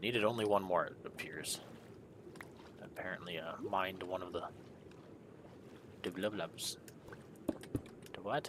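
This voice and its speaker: Speaking quietly at a moderate pace, a man uses a very deep, low pitch and fairly even intonation, with long, frequent pauses and big swings in loudness. Noticeable background noise runs through the clip. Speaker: gaming streamer. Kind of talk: live gameplay commentary. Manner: quiet, subdued; monotone droning.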